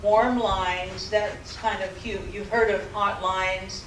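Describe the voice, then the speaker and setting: There is noticeable background noise and audible room echo. A woman speaks at a medium pitch with fairly even intonation. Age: 70s. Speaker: professor. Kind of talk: lecture. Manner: halting.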